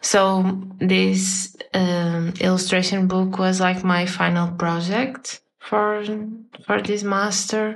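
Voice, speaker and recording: Very slowly and with very even loudness, a woman with a Portuguese accent speaks at a medium pitch in a monotone, flat intonation. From northern Portugal, near Porto. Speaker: illustrator. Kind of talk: casual interview. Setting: video call.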